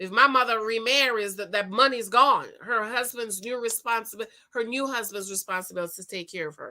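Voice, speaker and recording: A woman speaks at a fairly high pitch with lively intonation and a bright, sharp tone. The recording is very clean, with a silent background. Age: 40s. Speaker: relationship advice host. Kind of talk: live stream Q&A, reading viewer comments. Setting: live stream. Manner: casual, chatty.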